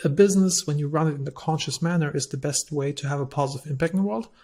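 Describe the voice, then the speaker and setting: A man with a German accent talks at a very fast pace in a fairly high, somewhat breathy voice. His intonation stays fairly even. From Germany. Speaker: entrepreneur, company CEO. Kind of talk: podcast interview.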